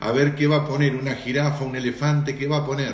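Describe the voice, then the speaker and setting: The speaker has an Argentine accent and a somewhat breathy voice at a fairly quick pace. Audible room echo surrounds the speech. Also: man. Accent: Argentine Spanish (rioplatense voseo). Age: 60s. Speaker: pastor. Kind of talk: live-stream Q&A and greetings with church audience. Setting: Instagram live broadcast.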